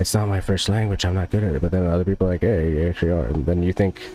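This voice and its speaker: With a New Jersey accent, a man talks at a very fast pace with a very deep, low pitch. His intonation stays fairly even over noticeable background noise. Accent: New Jersey American. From US, New Jersey. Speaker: gaming streamer. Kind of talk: casual chat. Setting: live stream.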